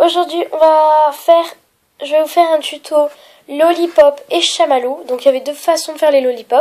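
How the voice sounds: A woman's high, nasal voice with a dark, mellow tone, fairly even intonation and a moderate pace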